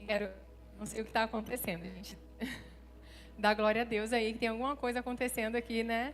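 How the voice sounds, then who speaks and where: Fairly high in pitch, a woman talks at a fairly quick pace with long, frequent pauses in a monotone, flat intonation. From Rio de Janeiro, Brazil. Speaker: pastor. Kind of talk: sermon. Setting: church stage with audience.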